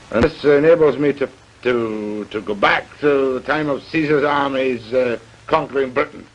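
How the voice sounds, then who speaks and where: Noticeable background noise sits under a man's voice. He speaks at a moderate pace and medium pitch with fairly even intonation. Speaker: TV interviewer. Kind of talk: interview.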